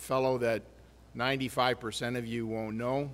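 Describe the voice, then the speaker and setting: A man at medium pitch, moderate pace and monotone, flat intonation. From southern Ontario, Canada. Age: 60s. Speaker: mining company executive. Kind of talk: keynote speech.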